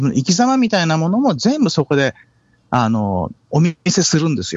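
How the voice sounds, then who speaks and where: A man at a moderate pace. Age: 50s. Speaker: bass player. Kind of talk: interview. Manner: halting.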